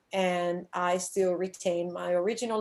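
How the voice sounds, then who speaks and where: A woman with an Italian accent speaks at a fairly low pitch. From Italy. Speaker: scuba diving instructor and shark diver. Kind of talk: conference presentation. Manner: hesitant, with frequent fillers.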